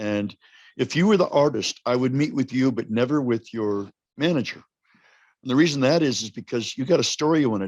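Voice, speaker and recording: A man with an American accent talks very fast, and the recording is very clean with a silent background. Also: dry, close sound with no echo. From US Southwest, Los Alamos, New Mexico. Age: 70s. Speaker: songwriter and guitarist. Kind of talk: podcast interview.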